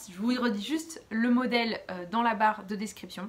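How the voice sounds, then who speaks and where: This woman's voice is fairly high and somewhat breathy. Her intonation stays fairly even. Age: 30s. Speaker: knitting podcaster. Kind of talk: casual chat. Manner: hesitant, many fillers.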